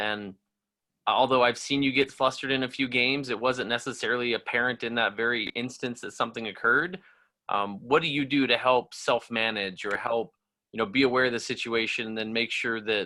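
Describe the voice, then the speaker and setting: A man with an ordinary speaking voice, fairly even intonation, and a fairly quick pace. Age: 30s. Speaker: referee training coordinator. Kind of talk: online training session.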